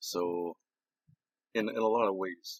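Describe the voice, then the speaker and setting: The voice belongs to a man. The sound is dry and close, with no echo. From Six Nations, Ontario, Canada. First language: Haudenosaunee language (transcribed as Kruger). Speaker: addictions counselor. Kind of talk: recorded presentation. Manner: halting, stopping and restarting sentences.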